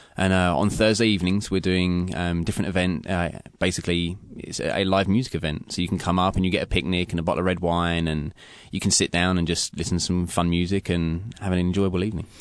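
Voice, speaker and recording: Speaking very fast, a man delivers his words in a very deep, low pitch with monotone, flat intonation. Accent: English. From England, London. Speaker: chef. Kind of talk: interview. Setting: radio studio.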